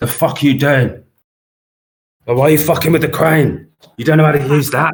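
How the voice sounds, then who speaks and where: In a gruff, put-on character voice, the speaker moves at a fairly quick pace with monotone, flat intonation. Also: man, fairly high pitch for a man. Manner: dim-witted, aggressive.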